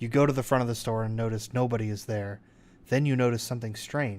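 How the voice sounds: Words read in a natural reading voice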